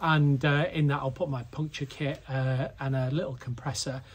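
This man talks fairly slowly. There is a somewhat breathy quality to his voice. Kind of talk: casual vlog chat. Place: garage. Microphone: phone near.

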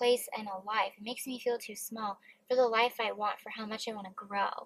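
A woman talks at a moderate pace. The sound is dry, with no echo. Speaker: vlogger. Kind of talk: casual vlog chat. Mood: reflective, emotional. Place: car. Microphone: phone near.

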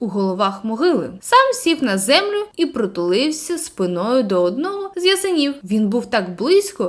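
Unforced voice, reading aloud

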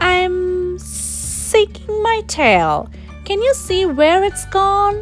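An extremely high-pitched, put-on character voice speaks at a very slow pace. Clear music plays in the background. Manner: hissing.

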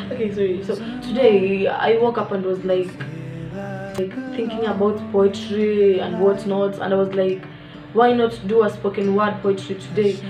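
With clear music in the background, a woman speaks at a moderate pace with ordinary pitch variation. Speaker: vlogger and poet. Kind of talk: casual talk to camera. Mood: relaxed, upbeat. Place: home room. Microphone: phone near.

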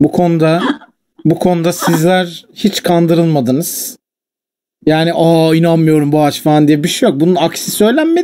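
A man with a high pitch and a dark, mellow tone speaks at a moderate pace. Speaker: streamer. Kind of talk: casual chat.

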